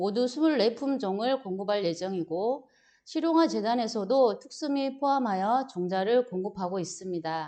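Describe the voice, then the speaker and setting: Intonation from this woman is lively. She talks at a very slow pace. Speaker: agricultural extension instructor. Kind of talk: lecture.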